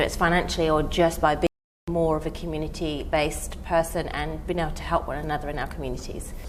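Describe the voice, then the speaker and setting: A woman talks at a fairly quick pace in a southern English accent. Noticeable background noise and audible room echo fill the recording. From southern England, near Windsor. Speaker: event planner. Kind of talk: interview.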